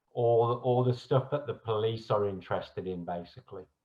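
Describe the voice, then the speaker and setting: Speaking at medium pitch, a man talks in a British accent. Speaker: research chemist, team leader. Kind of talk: panel introduction.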